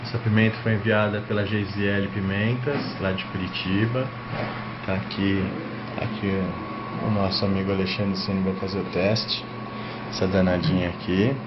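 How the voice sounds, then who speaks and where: Noticeable background noise sits under a man speaking at a fairly slow pace with long, frequent pauses. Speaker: chili pepper reviewer. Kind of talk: casual vlog chat. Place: home room. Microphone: webcam.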